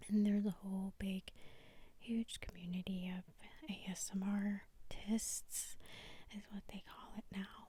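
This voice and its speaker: Her voice sits at a medium pitch, somewhat breathy, with a dark, mellow tone and a monotone, flat delivery. The woman talks at a fairly slow pace, leaving long, frequent pauses. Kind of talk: soft-spoken Bible reading and reflection. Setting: studio, ASMR-style recording. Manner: soft-spoken, relaxing.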